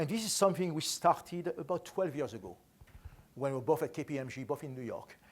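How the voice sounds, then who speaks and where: A fairly high-pitched man with a French accent at a fairly quick pace. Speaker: enterprise architect, conference speaker. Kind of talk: conference talk. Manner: fast.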